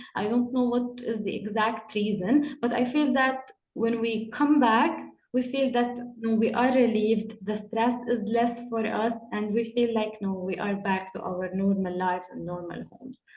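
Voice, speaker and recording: A somewhat breathy woman with a fairly high pitch talks at a moderate pace with fairly even intonation, audible room echo around her voice. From UAE, Jordanian family. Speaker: panel guest. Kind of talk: panel discussion. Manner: halting, with repetitions.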